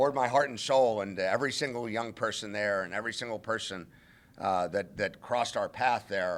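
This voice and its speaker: A man with an ordinary speaking voice talks at a fairly quick pace, his medium pitch showing ordinary variation, in a very clean recording with a silent background. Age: 60s. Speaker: interim college football head coach. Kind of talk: press conference.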